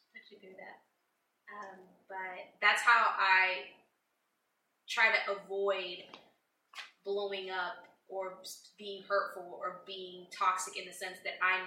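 Through audible room echo, a woman with a medium pitch speaks at a fairly slow pace in a monotone, flat intonation. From Puerto Rican family background. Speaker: host's wife. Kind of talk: casual chat.

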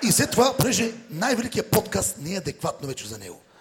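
A man speaks at a fairly quick pace with lively intonation over noticeable background noise. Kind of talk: stand-up comedy roast set. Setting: stage with live audience. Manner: sarcastic, teasing.

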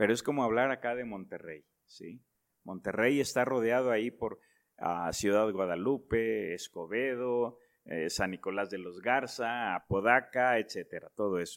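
On a very clean recording with a silent background, a man with an unremarkable speaking voice talks fairly slowly at medium pitch with ordinary pitch variation. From northern Mexico (Nuevo León, raised in Reynosa, Tamaulipas). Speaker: pastor. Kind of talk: interview.

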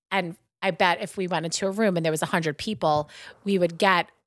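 A woman's animated, bright and sharp voice with a Long Island accent, dry and close with no echo, in a very clean recording with a silent background. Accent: Long Island New York. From Long Island, New York. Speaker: shop co-owner and podcast host. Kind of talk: casual chat. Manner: animated, chatty.

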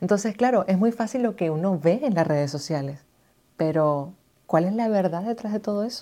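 Her dark, mellow tone at medium pitch, a woman talks at a moderate pace with lively intonation on a very clean recording with a silent background. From Venezuela, Maracaibo (Zulia). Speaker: podcast host, radio and TV presenter. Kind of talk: casual monologue. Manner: animated.

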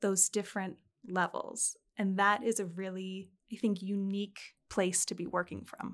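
Heard on a very clean recording with a silent background, a woman with a Canadian accent has an unremarkable speaking voice at medium pitch and a moderate pace. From Canada, Alberta. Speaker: fashion historian and museum curator. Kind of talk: interview.

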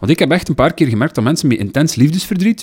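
Very fast, lively intonation from a man with a Flemish accent, a fairly high pitch and vocal fry. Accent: Flemish Dutch. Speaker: podcast co-host. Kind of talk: casual chat.

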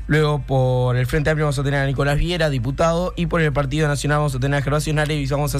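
This man speaks very fast in a fairly high voice with a Uruguayan accent, with audible room echo and music in the background. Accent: Uruguayan Rioplatense Spanish. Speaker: radio host. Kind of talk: casual radio show and interviews. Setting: radio studio. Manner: animated.

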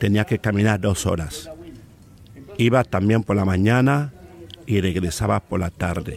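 A man's fairly low voice at a fairly slow pace, with long, frequent pauses, ordinary pitch variation, noticeable background noise, and a dry, close sound with no echo. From Cameroon, rural inland village. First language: a Cameroonian language (speaking Spanish). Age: 50s. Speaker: professional oral storyteller. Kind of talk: in-depth interview.

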